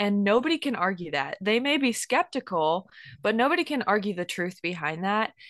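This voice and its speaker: A woman's fairly high voice at a fairly quick pace, a normal speaking voice over a quiet background. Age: 20s. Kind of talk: casual Bible teaching chat.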